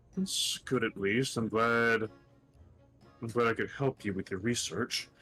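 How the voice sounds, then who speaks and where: Faint music plays behind a man doing a put-on character voice at medium pitch. He is soft-spoken and talks at a fairly slow pace. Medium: actual play. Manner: polite, gentle, soft-spoken.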